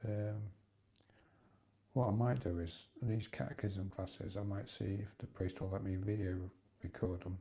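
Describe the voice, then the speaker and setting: The tone is dark and mellow. Some breathiness comes through. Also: man. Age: 60s. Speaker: vlogger. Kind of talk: personal vlog monologue. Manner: halting.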